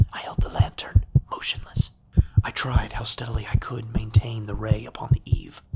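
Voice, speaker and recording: Amid noticeable background noise, a whispering voice moves at a moderate pace. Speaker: voice actor / audio narrator. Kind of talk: horror story narration, dramatic reading. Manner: tense, dramatic, building in intensity.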